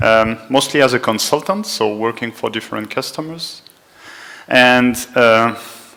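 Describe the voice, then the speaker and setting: Here a man talks fairly slowly with a French accent. His pitch is medium, with ordinary variation. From France. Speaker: conference speaker. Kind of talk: technical talk. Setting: conference room with small audience.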